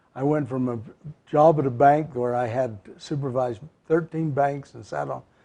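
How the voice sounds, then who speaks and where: This voice has a dark, mellow tone and a western US accent, moving at a moderate pace with fairly even intonation. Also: man. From southern Utah, Cedar City. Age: 70s. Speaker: mayor. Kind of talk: interview.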